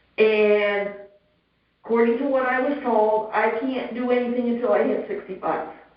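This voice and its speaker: A woman's fairly high voice at a moderate pace, fairly even in intonation, with audible room echo. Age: 60s. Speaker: homeowner appealing assessment. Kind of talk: public hearing testimony. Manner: halting.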